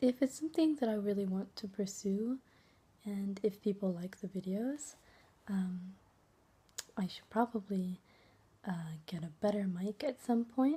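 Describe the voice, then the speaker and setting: Soft-spoken and somewhat breathy, a woman talks at a fairly slow pace with long, frequent pauses, using a dark, mellow tone, a medium pitch and ordinary pitch variation. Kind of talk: casual talk to camera.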